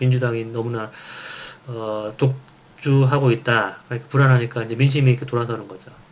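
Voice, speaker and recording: A man talks at a fairly quick pace with medium pitch and fairly even intonation, with noticeable background noise and audible room echo. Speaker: professor. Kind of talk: lecture. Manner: fast.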